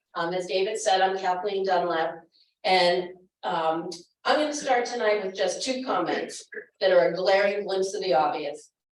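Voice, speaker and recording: At a moderate pace, a woman with a medium pitch and ordinary pitch variation speaks amid audible room echo. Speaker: finance committee member. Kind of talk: public meeting presentation. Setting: town hall meeting with audience. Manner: loud.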